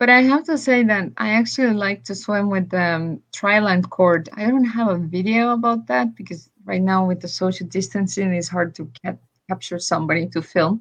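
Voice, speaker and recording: Somewhat breathy delivery at a moderate pace, lively intonation and hardly any pauses. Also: woman, medium pitch for a woman. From Estonia. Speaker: swimmer and ocean advocate. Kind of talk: casual interview chat.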